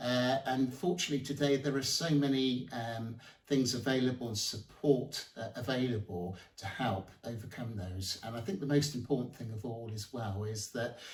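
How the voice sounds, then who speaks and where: This man talks at a moderate pace and a medium pitch. His pitch varies in an ordinary way. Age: 60s. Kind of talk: interview answer. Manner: hesitant, many fillers.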